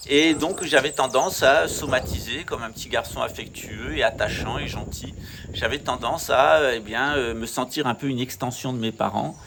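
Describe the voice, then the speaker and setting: Noticeable background noise sits behind a man talking at a moderate pace, his medium pitch showing ordinary variation. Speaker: channel host, naturopathy speaker. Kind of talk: monologue talk.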